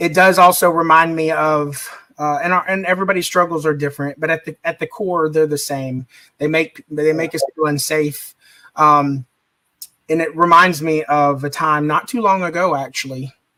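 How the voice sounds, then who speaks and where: A man talks in a plain, everyday voice. His pitch is fairly high and his pace moderate. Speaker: podcast host. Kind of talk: casual interview talk. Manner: upbeat.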